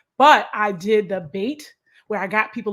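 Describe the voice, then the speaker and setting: The voice carries an American accent. It belongs to a woman. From Long Island, New York. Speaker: nonprofit consultant and educator. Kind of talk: interview. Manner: fast.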